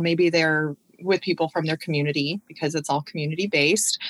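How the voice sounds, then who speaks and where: A plain, everyday voice at a fairly quick pace, dry and close with no echo, on a very clean recording over a silent background. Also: woman. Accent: American. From Washington State, US (South Sound). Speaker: university admissions director. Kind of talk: casual interview chat.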